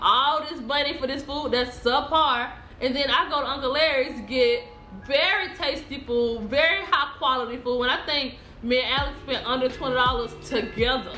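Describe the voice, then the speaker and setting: A woman with an American accent talks at a moderate pace in a high voice, her pitch varying in an ordinary way, with audible echo from the room. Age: 20s. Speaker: food vlogger. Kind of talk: casual food review vlog.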